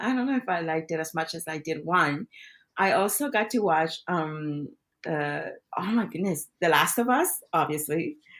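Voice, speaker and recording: Speaking at a moderate pace with a Spanish accent and lively intonation, a woman is heard in a very clean recording with a silent background. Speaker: podcast co-host, actor. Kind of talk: casual chat.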